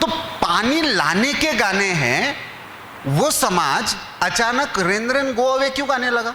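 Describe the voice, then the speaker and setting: With a Marathi accent, a man raises and projects his voice at an extremely high pitch, his intonation lively. The room echoes audibly and background noise is noticeable. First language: Marathi (speaking Hindi). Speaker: newspaper editor, speaker. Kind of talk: lecture. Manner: conversational, asks audience questions.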